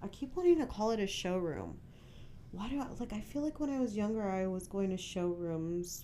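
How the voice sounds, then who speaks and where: Lively intonation and a dark, mellow tone carry this voice with an American accent, with audible room echo around it. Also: woman. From San Francisco, California. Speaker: podcast host. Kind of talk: casual solo monologue.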